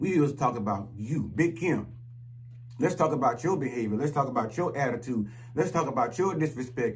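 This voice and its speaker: A man's animated, medium-pitched voice at a fairly quick pace, with audible room echo and noticeable background noise. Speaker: YouTube commentator. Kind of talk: rant monologue.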